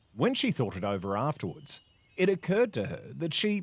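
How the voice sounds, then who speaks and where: This man speaks at a moderate pace with an Australian accent. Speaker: voice actor. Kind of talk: classic story reading.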